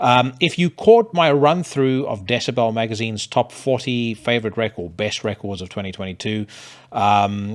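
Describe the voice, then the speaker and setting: In a South African accent, a man speaks at a medium pitch with lively intonation. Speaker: podcast host. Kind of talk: casual monologue with music reviews. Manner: hesitant, many fillers.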